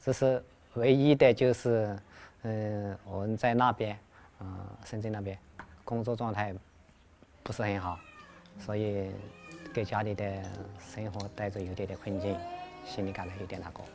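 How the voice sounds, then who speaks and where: At a moderate pace, a man with a fairly low pitch speaks with fairly even intonation, big swings in loudness and long, frequent pauses. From China, Hunan province. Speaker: migrant factory worker. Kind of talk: interview testimony. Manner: halting, many fillers.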